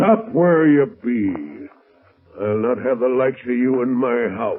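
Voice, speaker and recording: Putting on a gruff character voice, a man speaks at a medium pitch and a fairly slow pace with lively intonation. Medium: old radio play. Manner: gruff, hesitant "uh"s.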